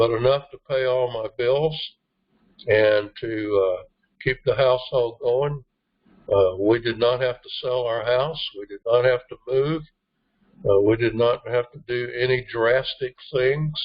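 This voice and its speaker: Somewhat breathy and medium in pitch, a man speaks at a fairly slow pace with fairly even intonation and big swings in loudness. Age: 70s. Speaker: network marketing team trainer. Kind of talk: motivational team training talk. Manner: hesitant, many fillers.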